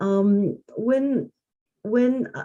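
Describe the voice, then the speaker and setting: Someone speaks with a Korean accent against a quiet background. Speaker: arts organization leader. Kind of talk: group reflection on video call. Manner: halting.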